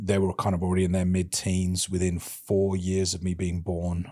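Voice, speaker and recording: With a British accent, this man talks at a fairly quick pace in a very deep, low pitch and a monotone, flat intonation, recorded very cleanly against a silent background. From England, Birmingham. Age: 30s. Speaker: podcast host, interviewed as guest. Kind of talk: casual interview. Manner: mumbling.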